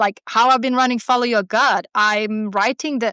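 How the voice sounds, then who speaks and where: A woman's fairly high, bright, sharp voice with a Swedish accent, animated in tone and moderate in pace, on a very clean, dry, close recording with no echo and a silent background. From Sweden. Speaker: artist and newsletter writer. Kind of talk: casual interview chat. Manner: animated, many false starts.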